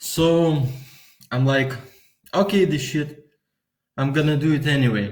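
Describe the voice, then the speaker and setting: With a Lithuanian accent, a man talks at a fairly slow pace and a fairly high pitch, somewhat breathy, leaving long, frequent pauses amid audible room echo. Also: ordinary pitch variation, very even loudness. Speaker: vlogger. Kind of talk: casual monologue. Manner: halting.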